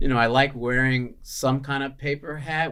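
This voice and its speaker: With a Chicago accent, a man speaks at a medium pitch with fairly even intonation. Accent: Chicago American English. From Chicago, US Midwest. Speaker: chef and restaurant owner. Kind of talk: podcast interview. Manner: casual, many filler words.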